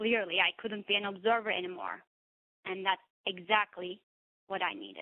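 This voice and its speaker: Speaking with a non-native accent, a woman uses a medium pitch and fairly even intonation at a moderate pace, with big swings in loudness and long, frequent pauses. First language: not English. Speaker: therapist and coach giving a speech. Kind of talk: prepared speech. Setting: webinar.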